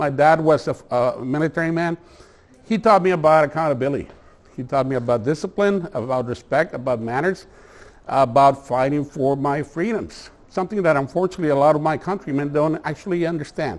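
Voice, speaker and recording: Speaking with a Mexican accent, a man keeps a fairly quick pace. His pitch is fairly high, with ordinary pitch variation. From Mexico, Tijuana. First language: Spanish. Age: 60s. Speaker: attorney. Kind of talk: presentation to a community meeting. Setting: meeting hall with audience. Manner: halting, many fillers.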